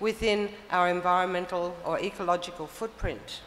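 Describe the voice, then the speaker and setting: A woman talks with audible room echo around her. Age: 60s. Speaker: permaculture teacher. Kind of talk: conference talk.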